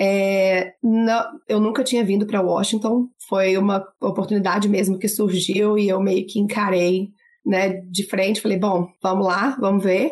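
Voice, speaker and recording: A woman speaks with a Minas Gerais accent at a fairly slow pace. Her loudness stays very even and her intonation fairly even. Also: medium pitch for a woman. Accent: mineiro. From Minas Gerais, Brazil (Barbacena). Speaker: lawyer and gender specialist. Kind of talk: interview.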